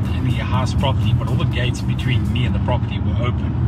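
Over music in the background, a man speaks at a very fast pace, the sound dry with no echo. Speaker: vlogger. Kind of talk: casual vlog chat. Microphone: phone near.

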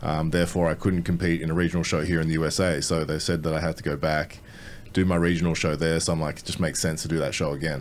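Very deep and low in pitch, a man with an Australian accent talks at a very fast pace. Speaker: bodybuilder. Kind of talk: casual chat. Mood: relaxed, confident. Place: studio. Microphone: studio mic.

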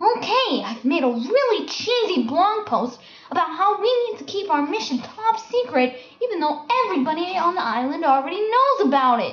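A put-on character voice sits at an extremely high pitch with very wide pitch swings, delivered at a moderate pace. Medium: machinima. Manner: sarcastic.

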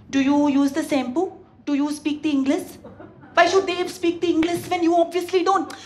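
A woman with an Indian accent talks at an extremely high pitch. Her pace is moderate, over light background noise. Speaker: comedian. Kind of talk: stand-up comedy. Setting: stage with audience. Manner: animated. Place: stage. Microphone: handheld.

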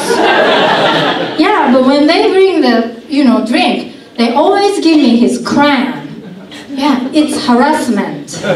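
Over loud background noise and audible room echo, a woman speaks at a very slow pace. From Japan. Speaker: stand-up comedian. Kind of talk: stand-up comedy set. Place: stage.

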